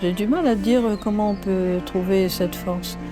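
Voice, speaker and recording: Music plays in the background while a woman talks at a fairly slow pace. Her voice sits at a medium pitch with ordinary pitch variation. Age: old. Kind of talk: interview answer. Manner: tender, simple.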